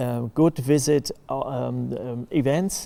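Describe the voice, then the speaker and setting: A man with a non-native accent speaks at a very slow pace. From East Germany. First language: German. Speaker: festival organizer. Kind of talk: interview. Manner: halting.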